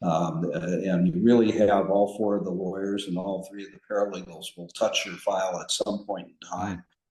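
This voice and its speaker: A man talks at a moderate pace with a fairly low pitch and a dark, mellow tone. His intonation stays fairly even. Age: 70s. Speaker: trial lawyer. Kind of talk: podcast interview. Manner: halting, with many fillers.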